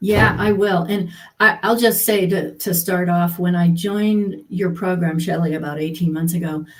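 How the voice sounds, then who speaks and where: With hardly any pauses, a woman speaks at a moderate pace in a somewhat breathy, fairly low voice with fairly even intonation, and audible room echo. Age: 60s. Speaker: healthcare professional turned coaching client. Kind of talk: interview.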